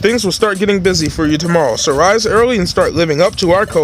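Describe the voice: The intonation rises and falls in a lively way. It's a plain read-aloud delivery.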